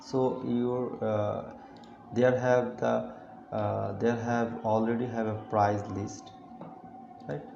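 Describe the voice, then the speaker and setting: A man with a non-native accent speaks at a very slow pace, with long, frequent pauses. Audible room echo and noticeable background noise are present. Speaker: web developer. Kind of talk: screen-recorded client feedback. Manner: halting, many fillers.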